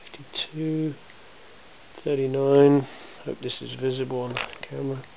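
At a medium pitch and a fairly slow pace, a man speaks with a slightly mellow tone, vocal fry and fairly even intonation over faint background noise.

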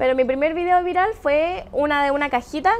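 Over noticeable background noise, a woman talks at a fairly quick pace with high pitch and lively intonation. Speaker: podcast co-host, social media influencer. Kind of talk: casual chat.

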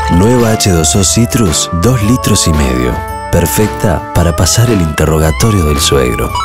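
Loud music plays in the background as a man speaks at a fairly slow pace. His sound is dry, with no echo. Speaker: announcer. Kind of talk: TV commercial read. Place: studio.

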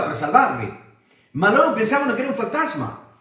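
A man in an animated tone, with audible room echo. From abroad, not Italy. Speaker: preacher. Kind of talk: Bible study. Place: home room.

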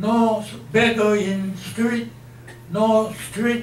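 A man's high-pitched voice with fairly even intonation, amid audible room echo and light background noise. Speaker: interviewee. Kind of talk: interview answer. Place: meeting room.

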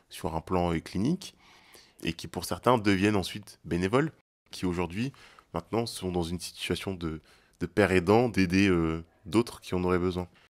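A man with a plain, everyday voice speaks at a fairly low pitch and moderate pace against a quiet background. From Paris suburbs, France (Val-de-Marne); France. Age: 20s. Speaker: student health association co-founder and activist. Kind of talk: testimony.

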